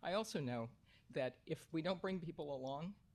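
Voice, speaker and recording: Somewhat breathy, a man with an American accent talks at a fairly quick pace. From Marin County, California. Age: 70s. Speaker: public commenter, conservation professional. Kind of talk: public comment at board meeting. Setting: public board meeting.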